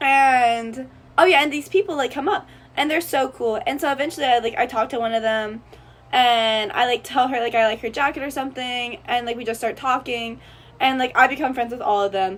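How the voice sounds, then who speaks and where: A woman talks loudly in an animated tone, her pitch high. She moves at a fairly quick pace with ordinary pitch variation. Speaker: college student vlogger. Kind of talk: casual vlog storytelling.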